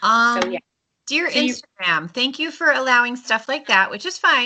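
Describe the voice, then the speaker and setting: A woman speaks at a moderate pace in a high voice. Her pitch swings very widely. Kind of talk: casual podcast chat.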